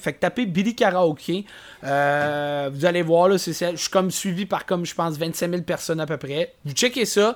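A man in a Quebec accent talks at a moderate pace with a high pitch. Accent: Québécois French. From Quebec City. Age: 20s. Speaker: karaoke performer. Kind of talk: casual chat.

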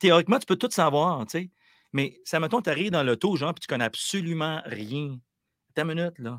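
In a normal speaking voice, a man talks at a fairly high pitch with lively intonation, the sound dry and close with no echo and the recording very clean against a silent background. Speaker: musician. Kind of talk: interview.

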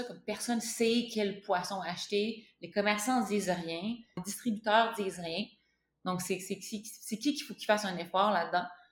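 The voice is somewhat breathy, with big swings in loudness. It moves at a moderate pace with ordinary pitch variation. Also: woman, medium pitch for a woman. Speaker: spearfisher and breathing coach. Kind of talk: interview. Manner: halting, many repeated words.

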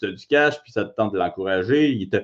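Against a quiet background, a man with a Quebec accent speaks at a moderate pace with lively intonation. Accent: Québécois French. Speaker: MMA fighter and co-host. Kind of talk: casual chat.

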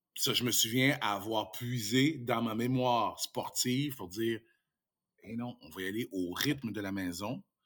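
The man has a normal speaking voice at a medium pitch. He goes at a fairly slow pace with ordinary pitch variation. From Quebec (Saint-Tite, Mauricie). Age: 50s. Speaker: radio host and former handball player. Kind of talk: casual interview; show plug.

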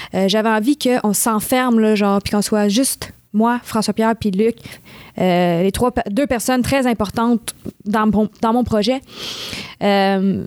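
A woman with a Quebec accent, fairly high pitch, very slow pace, fairly even intonation, very even loudness, dry, close sound with no echo. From Montreal West Island, Quebec. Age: 20s. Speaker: singer-songwriter. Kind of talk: interview. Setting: studio.

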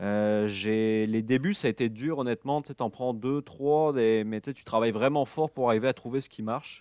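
A man's dark, mellow voice at medium pitch, ordinary pitch variation and moderate pace, with big swings in loudness and hardly any pauses, in a very clean, dry, close recording with no echo and a silent background. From France, the Alps. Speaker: fly fishing guide and instructor. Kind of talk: casual interview.

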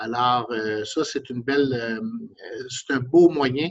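With a normal speaking voice, a man at medium pitch uses fairly even intonation, his sound dry and close with no echo. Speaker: mayor. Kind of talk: interview.

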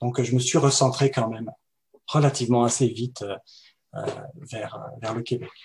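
Somewhat breathy and at a medium pitch, a man speaks at a fairly slow pace with fairly even intonation and long, frequent pauses. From France. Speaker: web developer and entrepreneur. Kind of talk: interview.

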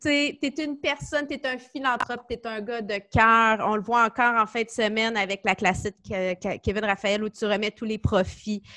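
Against a quiet background, a woman speaks slowly-ish, at a fairly slow pace, with a fairly high pitch, a bright, sharp tone and ordinary pitch variation. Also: dry, close sound with no echo. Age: 40s. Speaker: podcast host. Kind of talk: casual chat.

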